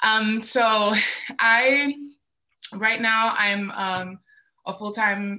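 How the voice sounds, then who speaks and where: A woman speaks at a medium pitch with a bright, sharp tone. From Puerto Rico and Dominican Republic. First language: Spanish. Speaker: creative entrepreneur, model and actor. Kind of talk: panel discussion.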